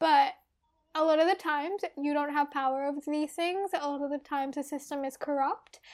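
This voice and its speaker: A woman's high-pitched voice at a fairly quick pace, with fairly even intonation. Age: 20s. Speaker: podcast co-host. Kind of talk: casual chat.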